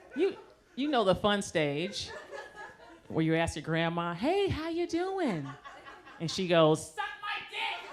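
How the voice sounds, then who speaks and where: Over noticeable background noise, a woman talks at a very slow pace with long, frequent pauses. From Las Vegas, Nevada, USA. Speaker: stand-up comedian. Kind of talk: stand-up comedy performance.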